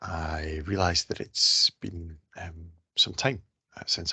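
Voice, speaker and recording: A man speaks with a Scottish accent. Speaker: researcher. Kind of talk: scientific presentation.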